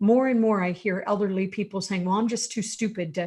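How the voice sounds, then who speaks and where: A woman's somewhat breathy voice comes through against a quiet background. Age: 60s. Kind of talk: online panel discussion.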